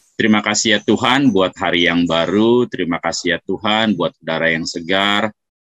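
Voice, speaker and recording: A man speaks at a moderate pace. The sound is dry with no echo, and the background is quiet. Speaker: pastor leading prayer. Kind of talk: opening prayer. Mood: calm, reverent. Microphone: video call.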